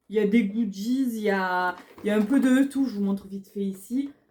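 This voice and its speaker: A woman speaks fairly slowly in a southern French accent. Her fairly high voice has a dark, mellow tone and ordinary pitch variation. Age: 30s. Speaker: beauty vlogger. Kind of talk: casual haul video talk. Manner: hesitant, many fillers.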